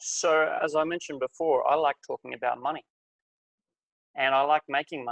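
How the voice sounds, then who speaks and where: Fairly quick but with long, frequent pauses, a man with an Australian accent speaks in a flat monotone at a fairly high pitch, the sound dry and close with no echo. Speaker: life coach. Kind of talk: webinar presentation.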